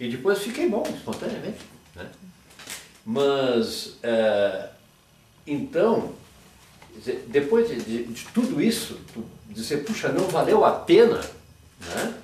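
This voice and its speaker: Amid noticeable background noise and audible room echo, a high-pitched man talks at a very slow pace with long, frequent pauses and very wide pitch swings. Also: big swings in loudness. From southern Brazil, Rio Grande do Sul. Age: 70s. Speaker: retired doctor. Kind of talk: oral history interview. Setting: at home. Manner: halting, with many repetitions.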